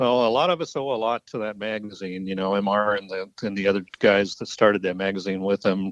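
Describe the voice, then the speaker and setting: This man has an unremarkable speaking voice, fairly low in pitch, with fairly even intonation and hardly any pauses. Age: 60s. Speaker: bowhunting historian. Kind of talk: casual interview chat.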